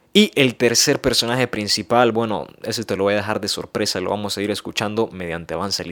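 On a very clean recording with a silent background, a man speaks at a very fast pace. His pitch is fairly low, his tone animated, and his pitch variation ordinary. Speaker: podcast host and youth preacher. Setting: podcast studio. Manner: animated, excitable, conversational; direct address to audience, playful and emphatic.

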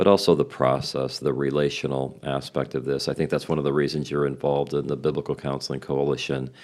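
A man's very deep, low voice with vocal fry, at a fairly quick pace. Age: 60s. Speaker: podcast host and biblical counselor. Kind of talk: podcast interview.

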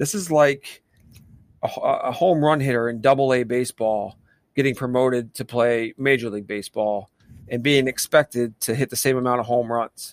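With an American accent, a man talks in an ordinary speaking voice at medium pitch, the sound dry and close with no echo. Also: ordinary pitch variation, moderate pace. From Pennsylvania. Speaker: podcast co-host, soccer fan. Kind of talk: casual sports chat.

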